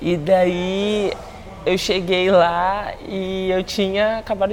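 A woman talks at a medium pitch while noticeable background noise is present. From Brazil, Espírito Santo (Guarapari). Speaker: jiu-jitsu athlete. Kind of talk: casual interview.

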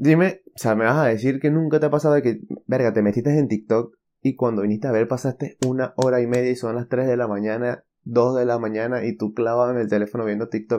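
A man with a medium pitch and a dark, mellow tone speaks at a fairly quick pace with fairly even intonation. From Venezuela. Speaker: podcast host. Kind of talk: casual solo podcast monologue. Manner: hesitant, many fillers.

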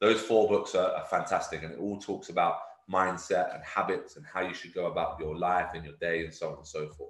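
There are big swings in loudness as a man talks at a fairly quick pace. Room echo is audible. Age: 30s. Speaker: bodybuilding coach. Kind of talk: motivational talk. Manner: repetitive, stumbling on words.

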